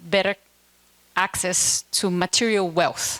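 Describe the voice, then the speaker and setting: A woman with a Portuguese accent at a very slow pace. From Brazil. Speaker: keynote speaker, education NGO director. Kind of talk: keynote speech.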